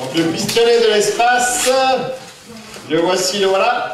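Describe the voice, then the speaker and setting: A man's voice makes very wide pitch swings in audible room echo. Noticeable background noise runs underneath. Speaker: clown magician. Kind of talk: live children's show patter. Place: hall. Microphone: camera far.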